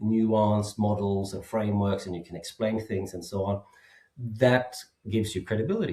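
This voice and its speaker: Speaking at a moderate pace with a slight Swedish accent, a man delivers his words in a monotone, flat intonation, his fairly low voice somewhat breathy with a dark, mellow tone. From Sweden. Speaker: safety expert and author. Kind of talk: podcast interview.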